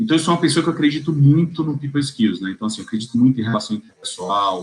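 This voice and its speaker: A man with a fairly high pitch sounds somewhat breathy and uses lively intonation. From Bahia, Brazil. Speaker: tax lawyer. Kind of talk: interview answer. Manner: cheerful, laughs easily.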